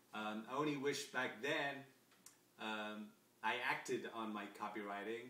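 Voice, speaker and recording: A man with an American accent speaks at a fairly low pitch and with fairly even intonation. Noticeable background noise and audible room echo surround him. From England, Coventry. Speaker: copywriter and salesman. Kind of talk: self-introduction video. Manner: casual with many fillers.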